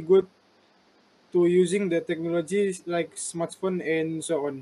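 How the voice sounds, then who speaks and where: A high-pitched male voice at a fairly slow pace, flat and monotone in intonation. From Malaysia, Sabah. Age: 30s. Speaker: university student interviewer. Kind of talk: class assignment interview. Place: home room. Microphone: video call.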